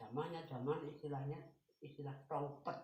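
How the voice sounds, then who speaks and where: There is audible room echo around a man whose voice is somewhat breathy. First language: Javanese (speaking Indonesian). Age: 80s+. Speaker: elderly interviewee recounting Japanese occupation. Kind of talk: interview, oral history.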